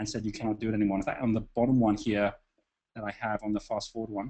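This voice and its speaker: With intonation that stays fairly even, a man talks at a medium pitch. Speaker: webinar host, business speaker. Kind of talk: live webinar talk. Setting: online conference call. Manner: fast; halting, many fillers.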